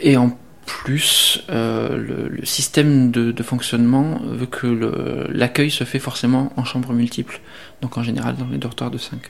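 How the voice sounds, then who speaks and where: A man talks at a very slow pace. Background noise can be noticed behind him. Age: 30s. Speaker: specialized social educator. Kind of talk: interview.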